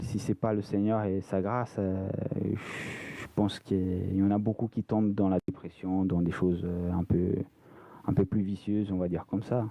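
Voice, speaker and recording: Speaking with a Brazilian accent, a man keeps a fairly low pitch and monotone, flat intonation at a moderate pace. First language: Portuguese (speaking French). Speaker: former racing driver, ministry development manager. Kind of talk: casual chat. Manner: hesitant, many fillers.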